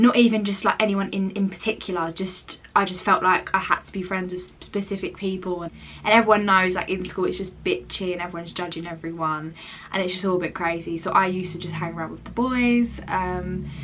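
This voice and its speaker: Amid noticeable background noise, a woman with an English accent speaks at a medium pitch, with big swings in loudness. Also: fairly quick pace. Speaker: lifestyle vlogger. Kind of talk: casual chat. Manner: fast; animated.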